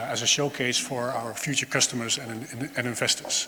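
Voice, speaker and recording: Noticeable background noise sits behind a man speaking at a moderate pace with fairly even intonation. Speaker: startup co-founder and technology lead. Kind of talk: on-stage interview. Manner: halting, many fillers. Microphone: no microphone, speaking unamplified or via throw mic.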